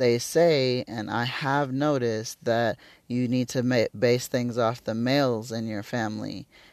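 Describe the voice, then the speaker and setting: A man with a plain, everyday voice, medium pitch, fairly even intonation and fairly slow pace, in a dry, close, very clean recording with a silent background and no echo. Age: 30s. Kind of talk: solo monologue podcast. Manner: casual with many fillers.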